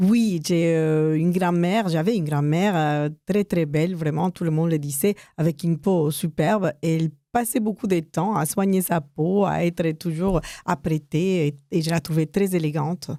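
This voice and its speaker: A woman talks at a fairly slow pace with very even loudness. Her pitch variation is ordinary. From United States, of Mexican descent. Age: 60s. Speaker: cosmetics entrepreneur. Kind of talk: radio interview. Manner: hesitant, many fillers.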